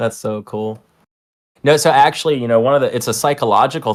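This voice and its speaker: This man has an American accent and talks at a fairly quick pace. The recording is very clean, with a silent background. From the Carolinas, US South. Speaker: trader, stream host. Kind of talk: casual chat.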